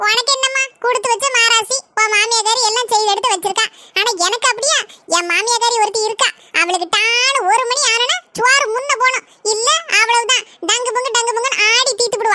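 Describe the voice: This is a cartoonish character voice with fairly even intonation. Its loudness stays very even. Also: woman, extremely high pitch for a woman, moderate pace.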